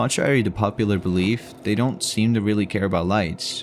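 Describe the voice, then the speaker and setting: Speaking at a fairly quick pace, a man keeps a fairly low pitch and fairly even intonation. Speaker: video game reviewer. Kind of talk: game review narration. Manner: somewhat monotone.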